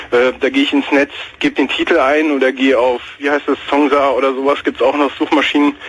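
Fairly quick, monotone, flat speech from a man with a fairly high pitch, amid noticeable background noise. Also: very even loudness. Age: 20s. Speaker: caller. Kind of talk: casual chat.

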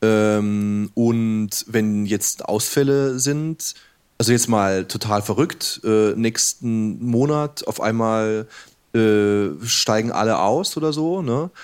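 A man at medium pitch and a very slow pace, on a very clean recording with a silent background. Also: ordinary pitch variation. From southern Germany. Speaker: game developer. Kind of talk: casual chat. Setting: live radio studio with audience.

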